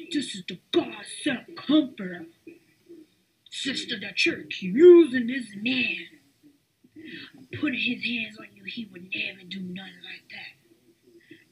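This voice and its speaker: This put-on character voice is pitched high and delivered at a fairly slow pace. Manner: yelling, loud.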